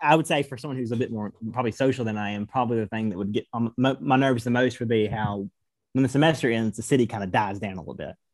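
A medium-pitched man with an American accent at a very fast pace, in dry, close sound with no echo. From Georgia, US South. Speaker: college student. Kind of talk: casual chat.

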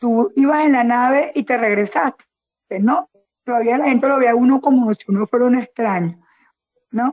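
Long pauses break up the speech frequently. Between them, the pace is moderate. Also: woman, high pitch for a woman, ordinary pitch variation. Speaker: teacher and social pedagogy worker. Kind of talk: casual chat.

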